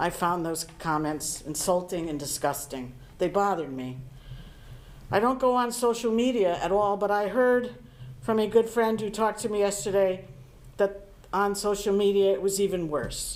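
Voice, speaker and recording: Audible room echo surrounds a woman speaking at a moderate pace. Her pitch sits in the medium range, and her intonation is lively. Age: 60s. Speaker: town board of finance member. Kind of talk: public meeting statement. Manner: formal.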